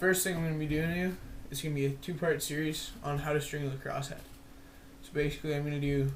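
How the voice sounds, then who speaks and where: Over audible room echo, a somewhat breathy man speaks very fast at a fairly high pitch, his intonation monotone and flat. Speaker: lacrosse stick stringing tutorial maker. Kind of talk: tutorial. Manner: casual, informal.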